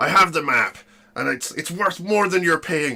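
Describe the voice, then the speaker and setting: A man puts on a growling character voice, high-pitched, raised and projected. He keeps a moderate pace with lively intonation. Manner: demanding.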